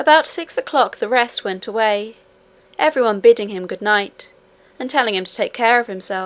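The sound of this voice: The intonation is lively as the text is read in an unforced reading voice.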